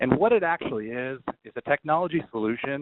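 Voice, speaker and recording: With ordinary pitch variation, this man's voice sits at a medium pitch. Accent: American. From New York. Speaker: IT solutions engineer. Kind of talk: webinar presentation. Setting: conference call. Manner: fast.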